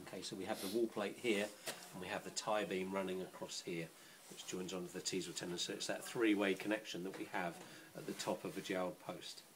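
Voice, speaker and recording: A man delivers his words fairly quickly and in a monotone, flat intonation while noticeable background noise carries on behind him. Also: fairly low pitch for a man. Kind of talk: explanatory demonstration. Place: workshop.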